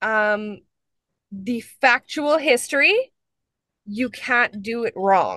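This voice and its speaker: With a Canadian accent, a woman speaks in a bright, sharp tone with ordinary pitch variation. The sound is dry with no echo against a quiet background. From northwestern Ontario, Canada (First Nations). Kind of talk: webinar conversation. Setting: video call. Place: car. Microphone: video call.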